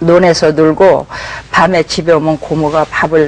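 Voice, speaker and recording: Over noticeable background noise, a woman speaks at a very slow pace with a very deep, low pitch. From South Korea. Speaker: pastor. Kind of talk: testimony. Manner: halting.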